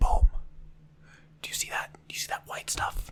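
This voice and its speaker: There is noticeable background noise. The speaker is whispering. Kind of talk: ASMR role play, over-explaining simple objects to the listener. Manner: casual, chatty, with filler words and repetition.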